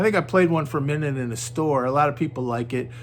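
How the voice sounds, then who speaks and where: The man's pitch is fairly high. He talks at a fairly quick pace. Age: 60s. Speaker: guitar reviewer. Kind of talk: product review. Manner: halting; casual.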